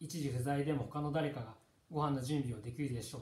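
The voice is somewhat breathy, moving at a moderate pace with ordinary pitch variation. Audible room echo surrounds it. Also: man. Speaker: monk leading a text study. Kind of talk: lecture. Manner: halting. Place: home room. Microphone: camera far.

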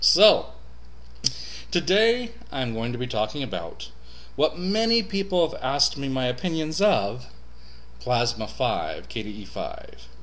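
At a fairly slow pace, a man speaks with long, frequent pauses. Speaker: Linux reviewer. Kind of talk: casual talk to camera. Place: home room. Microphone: webcam.

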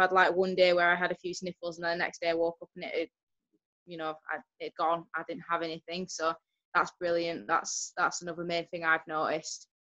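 A woman with a fairly low, bright, sharp voice talks at a fairly quick pace against a quiet background, her intonation monotone and flat but her loudness swinging widely. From Yorkshire. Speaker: outdoor worker and distributor. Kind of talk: testimony. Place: home room. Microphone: video call.

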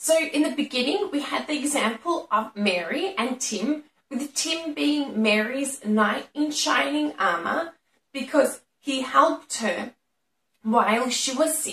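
A woman with an Australian accent speaks in a high pitch with lively intonation. Her pace is fairly slow, and room echo is audible. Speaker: English teacher. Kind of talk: educational lesson to camera. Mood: friendly, smiling.

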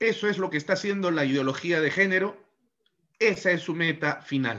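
A man's high-pitched voice with a bright, sharp tone and ordinary pitch variation, over a quiet background. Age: 40s. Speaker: law professor. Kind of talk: lecture. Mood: critical, argumentative. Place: home room.

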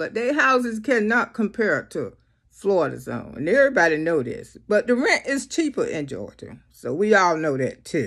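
Over a quiet background, a woman speaks at a moderate pace with vocal fry and very wide pitch swings. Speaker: comedic vlogger. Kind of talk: casual vlog chat. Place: home room. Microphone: phone near.

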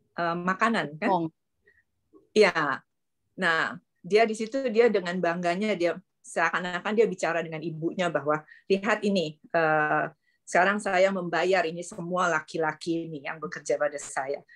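In a normal speaking voice, a woman talks at a moderate pace and a fairly low pitch, with ordinary pitch variation and big swings in loudness. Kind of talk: group discussion. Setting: video call.

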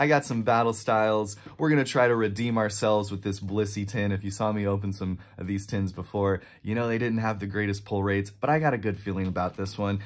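A man with a fairly low voice talks at a very fast pace with fairly even intonation. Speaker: card collector vlogger. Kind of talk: casual vlog chat. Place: home room.

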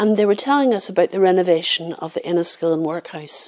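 This woman has a dark, mellow tone. She speaks with a Northern Irish accent. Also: quiet background. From Northern Ireland. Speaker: professional storyteller. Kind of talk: oral folk-tale storytelling, a haunting famine ghost story told to camera. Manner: measured, hushed storyteller's cadence building suspense; voices characters in dialogue, shifting into villagers' warnings. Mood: calm, somber story. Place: home room.

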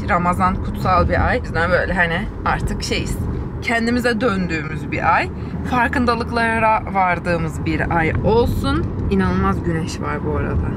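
Loud background noise surrounds a woman talking at a fairly slow pace. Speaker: vlogger. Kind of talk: casual vlog chat. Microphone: phone near.

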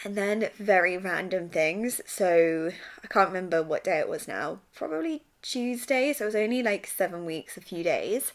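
In an English accent, a woman speaks at a moderate pace and medium pitch. Her intonation is lively, and the background is quiet. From England. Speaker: vlogger. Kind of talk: personal vlog. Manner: low-energy. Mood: candid, slightly frazzled, humorous. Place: home room. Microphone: phone near.

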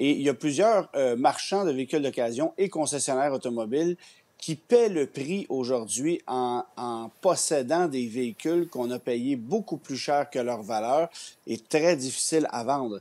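With a Quebec accent, a man speaks at a fairly slow pace in a fairly high pitch, his tone dark and mellow and his pitch variation ordinary. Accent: Québécois French. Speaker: automotive journalist. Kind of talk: news interview. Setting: TV studio. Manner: halting. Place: home room. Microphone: earbuds.

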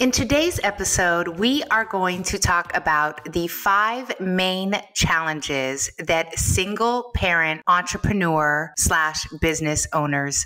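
A woman at a very slow pace, fairly low in pitch with lively intonation, over music in the background. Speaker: financial coach, podcast host. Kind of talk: podcast monologue. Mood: warm, upbeat. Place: home room. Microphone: studio mic.

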